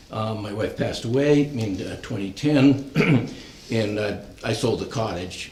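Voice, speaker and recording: Noticeable background noise and audible room echo fill the recording. Through it, a man speaks with lively intonation. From New Hampshire, near Keene. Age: 70s. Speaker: retired applicant at town hearing. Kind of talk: public hearing presentation. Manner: halting, many fillers.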